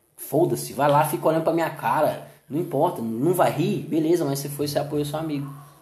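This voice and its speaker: A fairly high-pitched man with fairly even intonation, plus audible room echo. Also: fairly quick pace. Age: 30s. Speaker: comedian and comedy producer. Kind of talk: casual chat.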